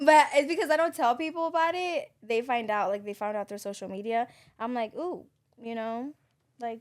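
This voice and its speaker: A loud, high-pitched female voice with lively intonation at a moderate pace. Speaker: podcast co-host. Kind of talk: casual chat. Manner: loud laugh.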